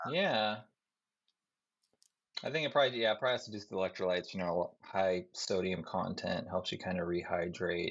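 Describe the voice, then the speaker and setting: Speaking at a fairly quick pace, a man leaves long, frequent pauses. His voice sits fairly low, with ordinary pitch variation. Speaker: army officer nearing retirement. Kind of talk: casual chat.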